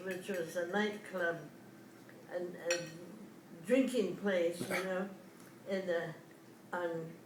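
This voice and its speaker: Amid noticeable background noise, a woman speaks very slowly with ordinary pitch variation. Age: 80s+. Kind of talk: interview answer. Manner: hesitant.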